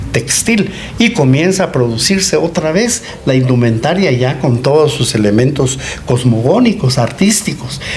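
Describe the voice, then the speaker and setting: Over noticeable background noise and audible room echo, a man with a fairly high pitch speaks at a moderate pace with lively intonation. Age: 80s+. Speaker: anthropologist. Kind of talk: interview.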